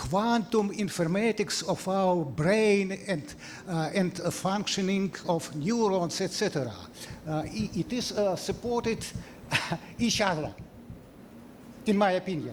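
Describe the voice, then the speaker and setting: Pitched high for a man, this male speaker has a non-native accent and ordinary pitch variation. He goes at a fairly slow pace, with long, frequent pauses. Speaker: scientist. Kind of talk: Q&A after a lecture. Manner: halting.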